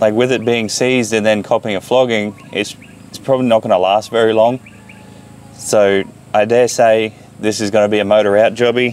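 A man's monotone voice with flat intonation at a moderate pace, dry with no echo, over light background noise. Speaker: car hobbyist vlogger. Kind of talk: casual vlog commentary while working. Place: garden.

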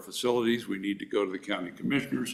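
This man has a medium-pitched voice with ordinary pitch variation and some vocal fry. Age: 70s. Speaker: racetrack developer applicant. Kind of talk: public meeting testimony. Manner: halting, self-correcting.

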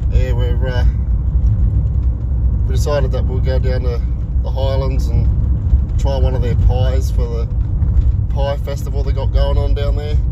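A man speaks with long, frequent pauses. The sound is dry with no echo, under loud background noise. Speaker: live streamer. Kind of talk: casual vlog chat. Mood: relaxed, friendly. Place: car. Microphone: phone near.

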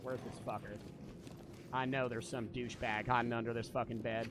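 Over noticeable background noise, a man with vocal fry speaks at a fairly quick pace in a dry sound with no echo. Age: 20s. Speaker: gaming streamer. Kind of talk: live game stream commentary. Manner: animated. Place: home room. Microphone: studio mic.

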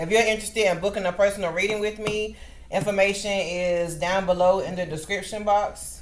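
Music plays in the background. A woman speaks with fairly even intonation. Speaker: tarot reader. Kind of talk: casual vlog chat. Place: home room. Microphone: webcam.

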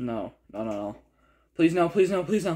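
Against a quiet background, a man speaks with very wide pitch swings. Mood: acted fear, pleading. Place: home room. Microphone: phone near.

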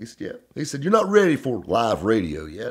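A man with a Southern US accent, fairly quick, with very wide pitch swings, against a quiet background. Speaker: automotive radio host. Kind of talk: storytelling to camera. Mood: upbeat storytelling, laughing.

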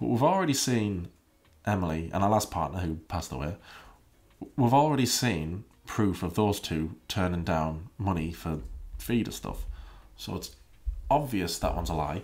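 A man speaks at a moderate pace in a very deep, low pitch with lively intonation. His speech has long, frequent pauses. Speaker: YouTube commentary creator; commentary youtuber. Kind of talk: casual commentary video. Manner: sarcastic; animated. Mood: wry, skeptical. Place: home room. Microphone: studio mic.

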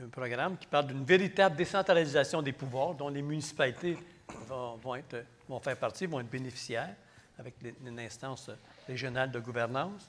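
Over light background noise, a man talks with a Quebec accent and ordinary pitch variation. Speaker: election candidate. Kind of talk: political debate. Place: hall. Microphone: podium.

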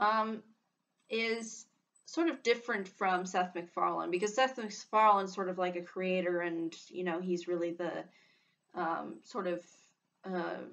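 A woman speaks at a fairly slow pace, leaving long, frequent pauses. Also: ordinary pitch variation. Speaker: vlogger discussing voice actors. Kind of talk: casual vlog commentary. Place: home room. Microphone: webcam.

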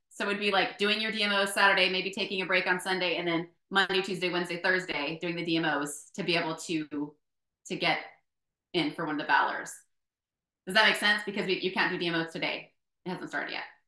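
A woman speaks in an animated tone at a fairly quick pace. The background is quiet, though audible room echo comes through. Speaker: network marketing team leader; team leader hosting the call. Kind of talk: group call briefing. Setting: video call. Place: home room. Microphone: video call.

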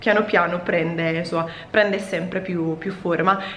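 With audible room echo and light background noise, a woman speaks with ordinary pitch variation. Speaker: vlogger. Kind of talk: casual vlog chat. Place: home room. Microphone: phone near.

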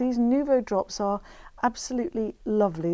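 A woman with a Lincolnshire accent speaks in a high voice with a dark, mellow tone and lively intonation. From northern England, Grimsby; northern England. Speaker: craft TV presenter; TV presenter. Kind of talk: craft demonstration. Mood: warm, chatty, anecdotal. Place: studio. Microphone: lapel.

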